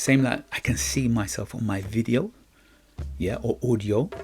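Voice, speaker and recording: Music in the background behind a man at a medium pitch, at a fairly slow pace with lively intonation. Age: young. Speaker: podcast host. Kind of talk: motivational monologue. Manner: halting.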